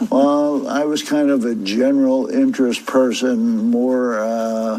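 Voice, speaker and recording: Amid noticeable background noise and audible room echo, a man speaks at a very slow pace with medium pitch and fairly even intonation. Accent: American. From Philadelphia. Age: 70s. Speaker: retired naval officer and football fan. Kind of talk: interview.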